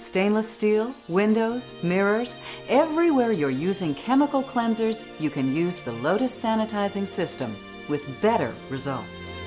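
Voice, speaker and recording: Over background music, a woman with a medium pitch talks at a moderate pace, her pitch swinging very widely. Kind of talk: infomercial narration.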